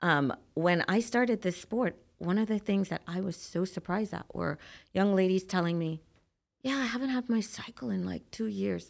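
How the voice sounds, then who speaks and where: Using a medium pitch and ordinary pitch variation, a woman speaks at a moderate pace. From Trinidad and Tobago. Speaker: bodybuilder and nurse practitioner. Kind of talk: casual interview chat. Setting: studio.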